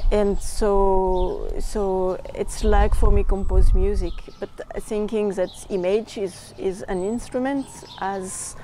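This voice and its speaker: Noticeable background noise sits behind a woman speaking with a French accent. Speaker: documentary filmmaker. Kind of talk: interview. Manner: halting.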